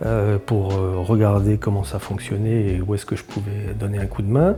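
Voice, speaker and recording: Noticeable background noise sits behind the voice. A man speaks with a fairly low pitch. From Alsace (Mulhouse), France. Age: 60s. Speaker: business executive. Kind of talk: interview. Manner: hesitant, frequent fillers.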